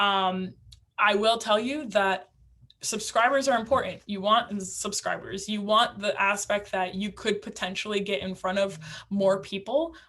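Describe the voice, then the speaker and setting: A woman's medium-pitched voice, bright and sharp in tone, with ordinary pitch variation and a fairly slow pace. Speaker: instructor for realtors on using video. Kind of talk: online class lecture. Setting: virtual class. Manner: casual, many fillers.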